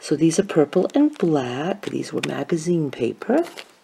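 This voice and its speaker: Soft-spoken, a woman talks at a moderate pace. Noticeable background noise can be heard. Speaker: craft vlogger who makes and sells paper beads. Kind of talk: casual talk to camera, quiet vlog. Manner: quiet, soft-spoken.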